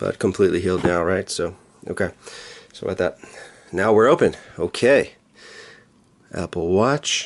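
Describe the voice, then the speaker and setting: Relaxed in tone, a man with a very deep, low pitch speaks at a moderate pace with ordinary pitch variation and long, frequent pauses. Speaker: tech youtuber. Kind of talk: unboxing tutorial. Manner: casual, relaxed.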